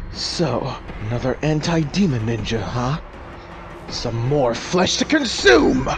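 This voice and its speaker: A cartoonish character voice at a fairly slow pace, with clear background noise. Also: man, fairly high pitch for a man. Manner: menacing, mocking.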